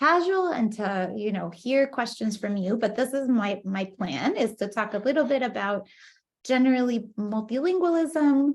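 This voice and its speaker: Against a quiet background, a woman with a Spanish accent talks at a moderate pace in a fairly high pitch with lively intonation. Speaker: professor. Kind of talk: lecture. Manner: hesitant, many fillers.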